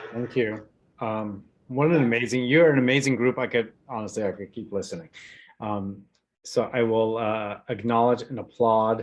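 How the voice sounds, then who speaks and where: A man has an ordinary speaking voice, medium in pitch, moving at a moderate pace with fairly even intonation. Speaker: community foundation event host. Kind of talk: closing remarks at online panel.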